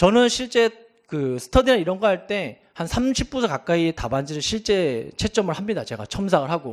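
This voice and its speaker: A man with a high pitch talks at a fairly quick pace, his voice making very wide pitch swings. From Gangwon Province, South Korea. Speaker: exam prep instructor. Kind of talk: lecture. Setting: seminar with live audience.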